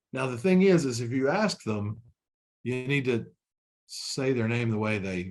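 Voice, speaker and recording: At a moderate pace, a man with a medium-pitched voice lets his pitch swing very widely. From Kentucky (Frankfort). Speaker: corporate trainer. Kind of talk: webinar training presentation. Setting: online webinar. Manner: conversational with many fillers and repetitions.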